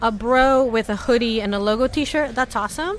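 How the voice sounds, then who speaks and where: Over noticeable background noise, a woman with an American accent speaks in an animated tone with lively intonation. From Latin America. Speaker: startup company staff member. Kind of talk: interview conversation. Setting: booth at a venue with others. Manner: fast.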